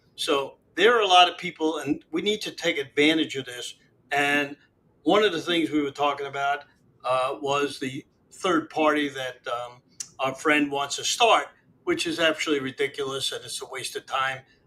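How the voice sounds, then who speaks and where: A man with a bright, sharp tone, fairly high pitch, ordinary pitch variation and a moderate pace. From Miami, Florida (moved from Brooklyn at twelve). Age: 80s+. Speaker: local party official and businessman. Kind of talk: interview.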